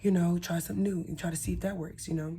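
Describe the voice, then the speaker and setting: A woman speaks with a Southern US accent and a dark, mellow tone. Her voice is somewhat breathy, with ordinary pitch variation. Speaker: spiritual content creator. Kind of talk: casual talk-to-camera tutorial. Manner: casual, conversational with fillers.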